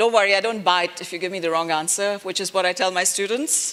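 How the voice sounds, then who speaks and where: This loud voice has a bright, sharp tone, ordinary pitch variation and a moderate pace. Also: woman. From India (Delhi). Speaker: architecture professor. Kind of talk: interactive lecture. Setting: auditorium with audience. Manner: animated.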